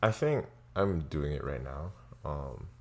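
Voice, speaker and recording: A man with a very deep, low voice speaks at a fairly slow pace, his pitch varying in an ordinary way. Vocal fry runs through his speech, and the recording is very clean with a silent background. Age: young. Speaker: podcast co-host. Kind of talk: casual chat.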